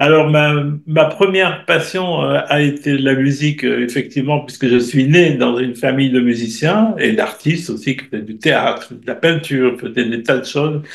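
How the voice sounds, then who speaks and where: At a fairly high pitch, a man speaks at a moderate pace with ordinary pitch variation and hardly any pauses, amid noticeable background noise. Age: 70s. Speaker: astrologer and writer. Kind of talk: interview.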